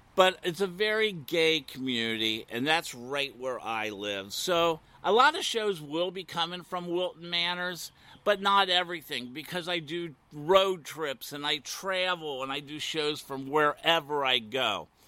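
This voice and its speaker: In a Midwestern US accent, a man with a fairly high pitch speaks in an animated tone with lively intonation at a fairly slow pace, with hardly any pauses, on a very clean recording with a silent background. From US Midwest; Ohio. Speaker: podcast host, former radio host. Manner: talkative, animated, flirty.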